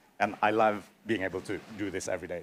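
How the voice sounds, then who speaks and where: Through noticeable background noise, a man speaks fairly quickly at a fairly low pitch. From Indonesia. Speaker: radio journalist. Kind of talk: panel discussion. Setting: stage with audience.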